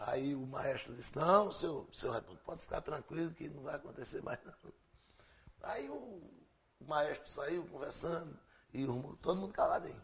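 A man speaks at a moderate pace in a plain, everyday voice. His pitch sits fairly high, varies in an ordinary way, and his loudness swings widely. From Pernambuco, Brazil. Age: 50s. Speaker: radio presenter and musician. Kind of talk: interview.

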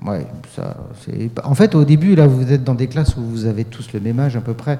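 A man talks at a fairly quick pace in a medium pitch, somewhat breathy. His pitch varies in an ordinary way. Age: 40s. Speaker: youth radio workshop leader. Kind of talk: casual chat.

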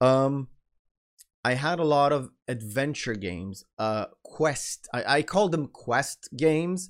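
At a very slow pace, a man with a fairly high pitch speaks with lively intonation on a very clean recording with a silent background. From Israel. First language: Hebrew. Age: 30s. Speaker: podcast host and content creator. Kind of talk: solo storytelling monologue. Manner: rambling, many fillers.

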